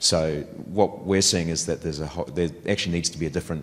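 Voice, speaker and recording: A man with a New Zealand accent speaks in a very deep, low voice with fairly even intonation. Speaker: audience member asking a question. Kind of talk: conference Q&A question.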